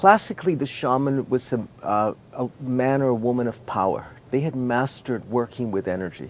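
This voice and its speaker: Speaking at a moderate pace with hardly any pauses, a man uses ordinary pitch variation in a dry sound with no echo. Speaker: interviewee, teacher. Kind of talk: interview answer. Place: open country.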